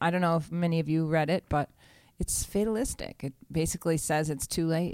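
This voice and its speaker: A woman talks at a fairly quick pace with a fairly low pitch and ordinary pitch variation. It is an ordinary speaking voice. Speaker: podcast host. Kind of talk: casual banter and interview.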